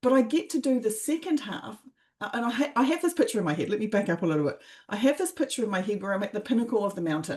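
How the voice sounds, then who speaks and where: Very fast and animated, this voice has a New Zealand accent and very wide pitch swings over a quiet background. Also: woman, fairly high pitch for a woman. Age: 50s. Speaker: life coach and former athlete. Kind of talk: interview. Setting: podcast.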